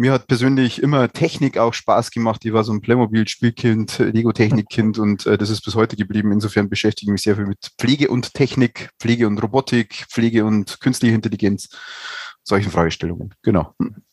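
A man talks fairly quickly at a medium pitch with fairly even intonation. The sound is dry and close with no echo, and he has an unremarkable speaking voice. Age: 40s. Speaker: nursing research lead at a university hospital. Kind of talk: casual expert discussion.

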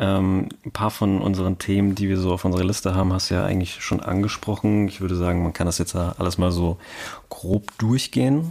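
With a very deep, low pitch and a dark, mellow tone, a man speaks in fairly even intonation. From Hesse, Germany (between Cologne and Frankfurt). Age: 20s. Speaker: podcast co-host, software developer. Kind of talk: casual chat.

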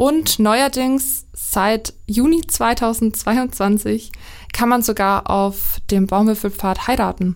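A woman speaks at a very slow pace and fairly high pitch with ordinary pitch variation. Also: very even loudness. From Lower Franconia. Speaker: podcast host, editor. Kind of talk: casual chat.

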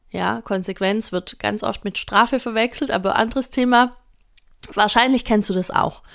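A woman with a fairly high pitch speaks in an unremarkable speaking voice, fairly slowly and with fairly even intonation. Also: very clean recording, silent background. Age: 30s. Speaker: early childhood educator and podcast host. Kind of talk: solo educational podcast talk. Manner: casual, conversational.

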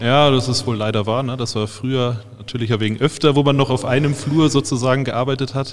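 At a fast pace, a man talks in a medium pitch. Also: fairly even intonation.

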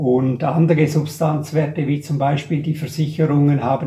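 Speaking at a fairly slow pace, a man with a fairly high pitch delivers his words in a monotone, flat intonation. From Graubünden, Switzerland. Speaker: portfolio manager. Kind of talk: casual interview.

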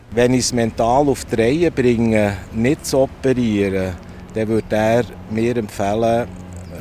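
The man's pitch is fairly low. Noticeable background noise runs behind him. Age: 60s. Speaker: veterinarian, cancer patient. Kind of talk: interview testimony. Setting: outdoors at a train station bench.

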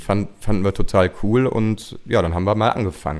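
Here is a man with an ordinary speaking voice. His pitch is medium and his pace fairly quick. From western Germany (Gummersbach, Oberbergisches Land). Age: 30s. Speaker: singer-songwriter. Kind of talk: casual interview.

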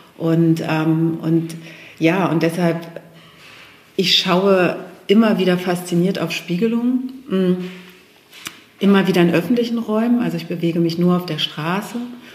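At a fairly slow pace and fairly low pitch, a woman speaks with ordinary pitch variation and long, frequent pauses, over noticeable background noise and audible room echo. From Lower Saxony, Germany (Steinhude near Hannover). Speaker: film director and photo artist. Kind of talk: interview. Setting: art gallery. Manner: hesitant, many fillers.

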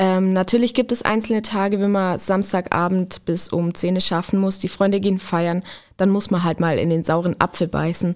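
Over a silent background in a very clean recording, a woman talks at a moderate pace and medium pitch in an unremarkable speaking voice, with very even loudness and fairly even intonation. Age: 20s. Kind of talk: podcast interview.

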